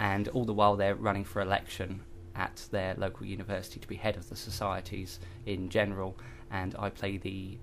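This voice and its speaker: A man speaks with a British accent. His pitch is fairly low and his pace moderate. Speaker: actor. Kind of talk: radio interview. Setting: radio studio.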